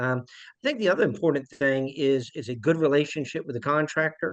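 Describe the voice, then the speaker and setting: Against a quiet background, a man talks at a moderate pace with a Charleston accent. His voice is fairly high, with fairly even intonation. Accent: Charleston South Carolina. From South Carolina, Charleston. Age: 50s. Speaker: property management executive. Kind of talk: investor webinar presentation.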